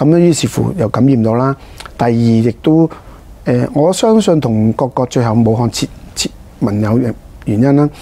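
A man speaks at a medium pitch and a moderate pace, with ordinary pitch variation and very even loudness. Long pauses come often. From Hong Kong. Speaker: district councillor, politician; council guest. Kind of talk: interview. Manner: halting, many fillers. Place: studio. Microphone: lapel.

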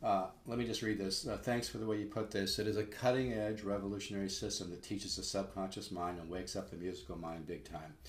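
A man speaks at a very fast pace with hardly any pauses. His pitch is fairly low, his intonation fairly even, and there is audible room echo. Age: 60s. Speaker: guitar teacher. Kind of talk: sales pitch. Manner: casual, halting. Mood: earnest, mildly salesy. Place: home room. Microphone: webcam.

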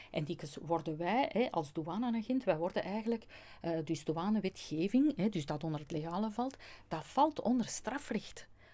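A woman with a dark, mellow tone talks at a moderate pace, her pitch swinging very widely. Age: 50s. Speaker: customs agent and natural law speaker; speaker. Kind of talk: interview. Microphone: studio mic.

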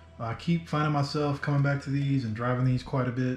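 A man's voice carries audible room echo, with light background noise present. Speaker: RC hobby vlogger. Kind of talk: casual vlog chat. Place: home room.

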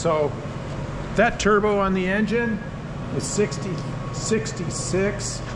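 A man's voice with noticeable background noise. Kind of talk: tutorial. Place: workshop. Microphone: phone near.

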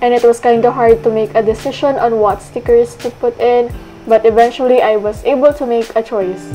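Music plays in the background as a woman with a Filipino accent speaks at a fairly quick pace. Her fairly high voice keeps a fairly even intonation. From Philippines. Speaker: optometry student. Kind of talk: vlog voice-over narration.

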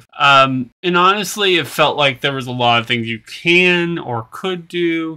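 A man talks at a rather unhurried pace, his pitch moving in an ordinary way, against a quiet background. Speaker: game reviewer. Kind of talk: casual vlog commentary. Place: home room. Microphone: webcam.

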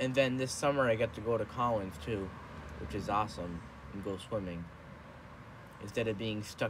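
A somewhat breathy man's voice at a moderate pace, with long, frequent pauses, ordinary pitch variation and noticeable background noise. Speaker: vlogger. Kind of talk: casual vlog chat. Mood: relaxed, some complaining. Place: home room. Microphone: phone near.

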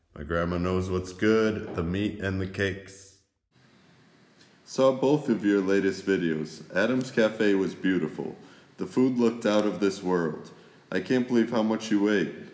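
Speaking with an American accent, a man uses a fairly low pitch at a fairly slow pace. Audible room echo surrounds his voice. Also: ordinary pitch variation. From USA. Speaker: travel vlogger. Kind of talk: casual vlog narration reading messages. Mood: amused, warm. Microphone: phone near.

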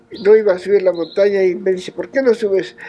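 Faint music plays in the background as a man speaks at a high pitch with ordinary pitch variation. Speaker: mountain guide. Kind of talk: interview answer. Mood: warm, smiling storytelling.

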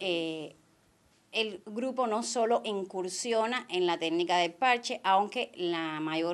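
A woman talks in a plain, everyday voice at medium pitch with ordinary pitch variation. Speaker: craft group member. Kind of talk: interview.

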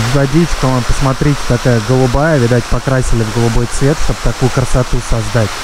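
A man talks at a moderate pace, the sound dry with no echo, with noticeable background noise. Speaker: travel vlogger. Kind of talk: casual vlog chat. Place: street. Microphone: phone near.

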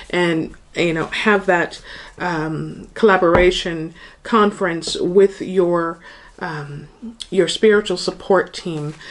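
With ordinary pitch variation, the woman's speech moves along. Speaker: tarot reader. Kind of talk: tarot reading to viewers. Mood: warm, light laughter. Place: home room.

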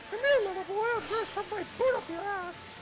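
Someone uses a put-on character voice at an extremely high pitch. The pace is fairly quick, with clear background noise. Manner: taunting, threatening in a silly way.

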